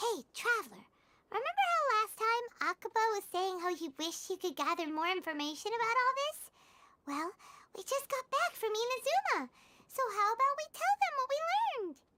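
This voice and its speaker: A squeaky put-on character voice is heard. Its pitch is extremely high, and the pace is moderate. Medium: video game. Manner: chatty, upbeat.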